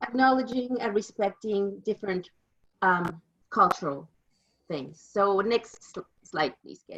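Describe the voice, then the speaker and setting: With a Mexican accent, a woman speaks at a moderate pace using lively intonation. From Mexico. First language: Spanish. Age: 50s. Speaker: interpreter. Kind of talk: presentation.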